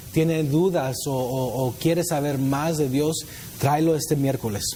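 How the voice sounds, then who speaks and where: A man's fairly high voice at a moderate pace with ordinary pitch variation, audible room echo and noticeable background noise. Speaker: youth pastor. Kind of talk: sermon.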